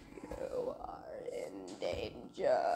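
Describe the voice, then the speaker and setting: Clear background noise runs beneath a man doing a put-on character voice. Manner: commanding, authoritative.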